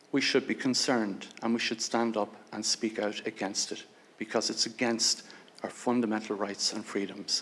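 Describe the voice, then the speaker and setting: A man with an Irish accent speaks in a monotone, flat intonation. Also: medium pitch for a man, moderate pace. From Ireland. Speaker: lawyer and human rights advocate. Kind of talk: prepared speech at a hearing. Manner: formal.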